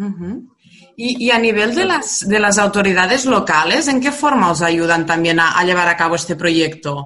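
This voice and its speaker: A woman's medium-pitched voice with a Spanish accent, lively intonation and a moderate pace. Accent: Peninsular Spanish. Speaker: radio host. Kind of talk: interview.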